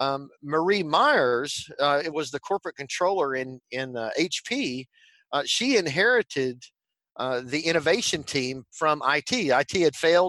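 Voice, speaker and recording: With a strong Texan accent, a man speaks fairly slowly in a bright, sharp tone at a fairly high pitch, the sound dry and close with no echo and the background quiet. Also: lively intonation. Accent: Texan Southern drawl, strong. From Texas. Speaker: tech company executive and evangelist. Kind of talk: interview.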